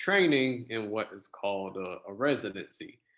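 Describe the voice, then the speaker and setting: This man's voice sits somewhat low. He keeps a moderate speed. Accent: American. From US South, South Florida (West Palm Beach). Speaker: oncology pharmacist. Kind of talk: interview. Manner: halting, many fillers.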